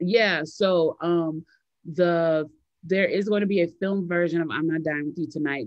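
Speaking in an American accent, a woman keeps a moderate pace with an animated tone and ordinary pitch variation. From Chicago, US Midwest. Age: 40s. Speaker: novelist and activist. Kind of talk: interview.

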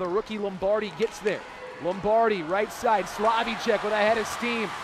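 There's noticeable background noise behind a man with a high pitch, and the sound is dry with no echo. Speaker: hockey play-by-play announcer. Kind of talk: live commentary. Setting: arena broadcast of hockey game. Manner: voice surges and rings out on goals. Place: stadium. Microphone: headset.

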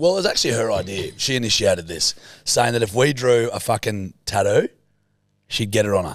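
A man talks with an Australian accent. The sound is dry with no echo, and the background is quiet. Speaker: podcast co-host. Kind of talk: casual chat. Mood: joking, crude humour. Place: studio. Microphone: studio mic.

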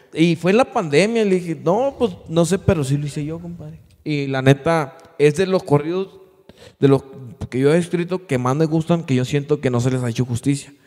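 A man's fairly high voice at a moderate pace, with ordinary pitch variation, over a quiet background. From Mexico, Durango. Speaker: podcast host and musician; podcast host. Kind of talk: casual chat. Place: studio. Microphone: studio mic.

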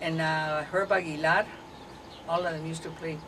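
Her fairly low voice stays monotone and flat. Noticeable background noise runs behind this woman. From Arizona, US Southwest. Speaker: elderly interviewee sharing family history; interviewee. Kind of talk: oral history interview. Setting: at home, partly outdoors in the garden. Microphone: camera far.

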